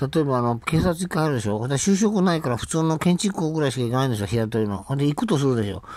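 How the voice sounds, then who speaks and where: A man speaks with very wide pitch swings. The background is quiet and the sound is dry with no echo. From Hakodate, Hokkaido (raised there until 17); Hokkaido, Japan. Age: 70s. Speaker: vlogger on welfare. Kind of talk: casual monologue. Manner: rambling, frequent laughter. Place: home room. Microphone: phone near.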